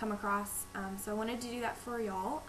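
Over noticeable background noise, a woman talks at a fairly quick pace in a flat, monotone intonation. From Texas. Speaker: vlogger. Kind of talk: casual talk to camera. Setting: home recording, low-volume microphone. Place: home room. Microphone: webcam.

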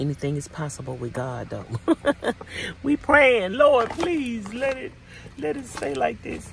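There is light background noise, and the sound is dry with no echo. A woman talks at a very slow pace. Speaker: van-life vlogger. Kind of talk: casual vlog chat. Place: home room. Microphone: phone near.

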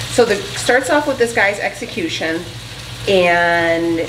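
A woman speaks against noticeable background noise. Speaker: home vlogger. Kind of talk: casual vlog chat. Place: kitchen. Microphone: camera far.

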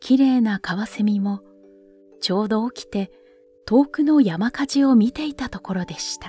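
Over background music, a woman with a fairly high voice swings widely in loudness, her pitch varying ordinarily, in a dry, close recording with no echo. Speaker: narrator. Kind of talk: literary story reading. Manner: soft-spoken, slow.

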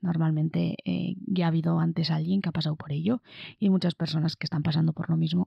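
A woman's very fast speech with vocal fry. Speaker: podcaster reviewing a book for exam candidates. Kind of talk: casual book review monologue. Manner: hesitant, many fillers.

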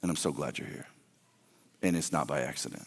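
Vocal fry runs through a man's speech in an American accent. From US South. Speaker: pastor. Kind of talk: sermon. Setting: church. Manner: animated. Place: stage. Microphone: headset.

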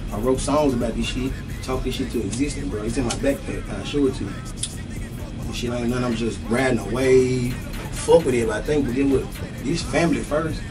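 Clear music plays behind a man speaking at a fairly quick pace. His intonation is fairly even. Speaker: interviewee. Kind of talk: interview answer. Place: studio.

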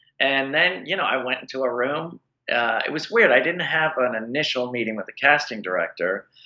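A man talks at a fairly quick pace in an unremarkable speaking voice. His pitch is fairly high and his intonation lively. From Washington D.C. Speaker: character actor. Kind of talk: casual interview.

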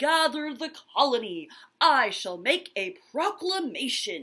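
A put-on character voice, high pitched with very wide pitch swings, at a fairly slow pace in a very clean recording with a silent background. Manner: heroic regal.

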